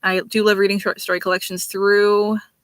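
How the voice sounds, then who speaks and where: Loud and bright with a sharp tone, this voice races along at a very fast pace. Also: woman. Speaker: book club podcast co-host. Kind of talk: casual chat.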